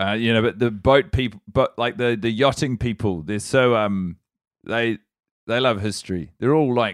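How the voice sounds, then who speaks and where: A man speaks with a New Zealand accent. The recording is very clean and silent, with a dry, close sound and no echo. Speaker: comedian. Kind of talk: casual chat.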